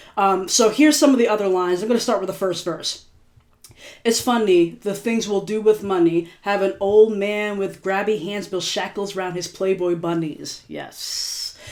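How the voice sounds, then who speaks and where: Her voice is an unremarkable speaking voice, and this woman talks at a moderate pace with medium pitch and ordinary pitch variation. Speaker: singer-songwriter reflecting on own music. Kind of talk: casual video commentary. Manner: casual, filler-heavy.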